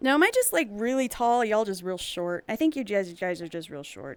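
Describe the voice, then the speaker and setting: Her pitch swings very widely as a woman speaks from a fairly high register. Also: big swings in loudness. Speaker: streamer. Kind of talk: casual chat.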